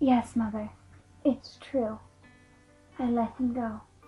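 A put-on character voice sounds female, with a high pitch. It moves at a fairly slow pace in a monotone, flat intonation. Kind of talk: character voice audition.

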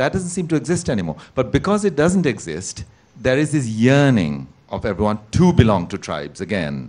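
Vocal fry runs through this man's speech, delivered at a moderate pace. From Sri Lanka. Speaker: novelist. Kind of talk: panel discussion. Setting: stage with audience. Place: stage. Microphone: handheld.

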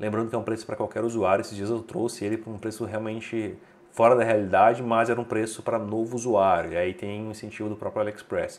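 A man with a Brazilian accent at a very fast pace. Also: medium pitch for a man. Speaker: tech reviewer and deals channel host. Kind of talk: sales pitch, promo deal rundown; video review / promo rundown. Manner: brisk, upbeat bargain-hunter pitch; opinionated, recommends with confidence.

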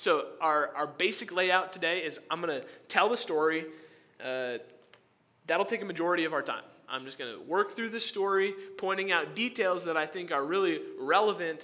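The pace is moderate. Pitch variation is ordinary. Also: man, high pitch for a man. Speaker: pastor. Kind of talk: sermon. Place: church.

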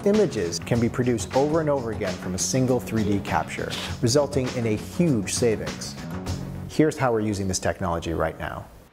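A man with a fairly low pitch talks at a fairly quick pace. Clear music plays in the background. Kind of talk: promotional interview. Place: studio.

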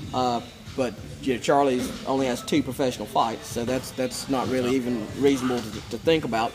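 Over noticeable background noise, someone with an Appalachian accent talks at a fairly quick pace with fairly even intonation. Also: man, medium pitch for a man. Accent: Southern Appalachian American. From western North Carolina. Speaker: MMA promoter; fight team coach. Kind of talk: casual chat. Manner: repetitive, stammering starts. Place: gym.

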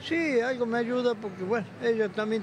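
Noticeable background noise surrounds a man whose voice is dry, with no echo. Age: 70s. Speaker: retiree and street vendor; street vendor. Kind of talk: street interview. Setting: outdoors. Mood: complaining, resigned. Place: hall. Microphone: handheld.

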